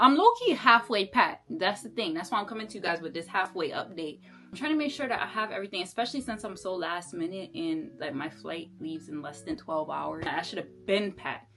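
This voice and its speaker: Over noticeable background noise, a woman talks at a fairly quick pace with hardly any pauses. Her voice has very wide pitch swings and big swings in loudness. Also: medium pitch for a woman. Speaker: vlogger. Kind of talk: casual vlog tutorial. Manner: animated.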